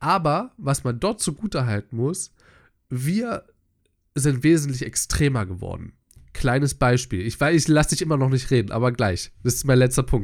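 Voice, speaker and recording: This man talks at a moderate pace in a plain, everyday voice of medium pitch, his intonation lively, on a very clean recording with a silent background. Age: 20s. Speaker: podcast co-host. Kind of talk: casual chat.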